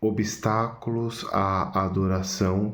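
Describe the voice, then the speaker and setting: Soft-spoken and very deep, a man talks with fairly even intonation. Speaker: church study group member presenting a chapter. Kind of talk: video presentation summarizing a book chapter. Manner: soft-spoken, speaking quietly.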